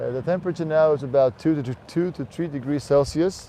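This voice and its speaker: With a Faroese accent, a man speaks very fast at a fairly high pitch with fairly even intonation. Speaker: tour guide. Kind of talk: live tour commentary. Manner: halting.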